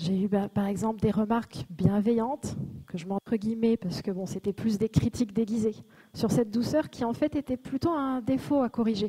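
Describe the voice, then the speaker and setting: At a moderate pace, a woman speaks at a fairly high pitch with ordinary pitch variation. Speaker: conference speaker. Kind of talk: conference talk. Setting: stage with audience.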